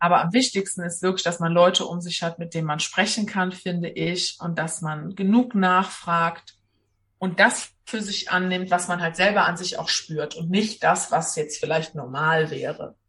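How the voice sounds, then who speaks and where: Talking at a moderate pace with an ordinary speaking voice, a woman keeps a fairly low pitch and fairly even intonation. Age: 20s. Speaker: social worker with lupus. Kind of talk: interview.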